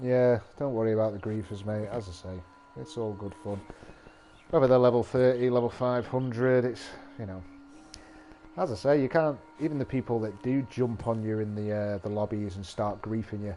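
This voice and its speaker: Against noticeable background noise, a man at a medium pitch speaks at a moderate pace with ordinary pitch variation and long, frequent pauses. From northern England, between Liverpool and Manchester. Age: 40s. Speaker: gaming streamer. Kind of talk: live gameplay stream chat. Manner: casual, sweary.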